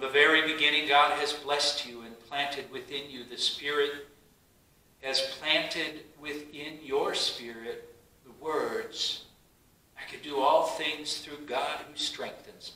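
The speaker's intonation is fairly even. There is audible echo from the room. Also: man, fairly high pitch for a man. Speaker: pastor leading worship. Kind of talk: online worship service: spoken prayers and words of assurance. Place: church. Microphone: camera far.

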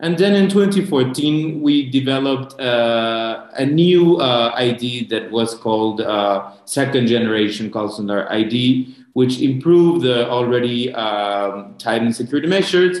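A man's fairly slow speech with lively intonation and audible room echo. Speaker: government consular official, panelist. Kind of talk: panel presentation. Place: home room. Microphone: video call.

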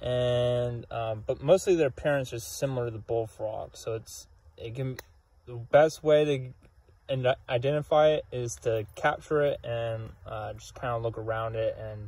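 A man's somewhat breathy, dark and mellow voice at a fairly slow pace, with ordinary pitch variation, big swings in loudness, and a dry sound with no echo. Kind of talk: field nature commentary. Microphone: phone near.

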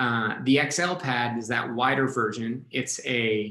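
This man's voice sits at a medium pitch. His intonation is fairly even. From New England. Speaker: business development director. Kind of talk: webinar product presentation. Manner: hesitant, many fillers.

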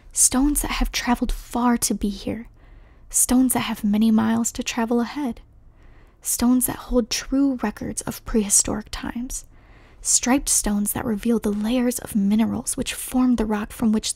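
The pace is moderate. The sound is dry, with no echo. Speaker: reader of a nature book. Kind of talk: ASMR read-aloud. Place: home room.

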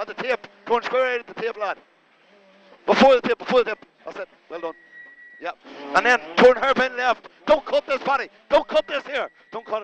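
Amid light background noise with a dry sound and no echo, a man with an extremely high pitch speaks at a fairly quick pace, with ordinary pitch variation, big swings in loudness, and long, frequent pauses. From Ireland. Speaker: rally co-driver. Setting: inside a rally car during a stage. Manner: excitable, encouraging bursts between calls. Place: car. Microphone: helmet.

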